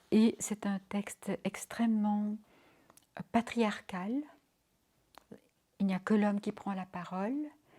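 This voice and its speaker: A woman speaks very slowly at a medium pitch with fairly even intonation. Her voice is somewhat breathy, with a dark, mellow tone. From Belgium, Brussels. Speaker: interviewee recounting personal history. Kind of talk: interview testimony. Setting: home interview.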